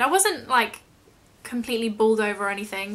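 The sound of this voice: A woman's bright, sharp voice, fairly high for a woman, at a moderate pace with ordinary pitch variation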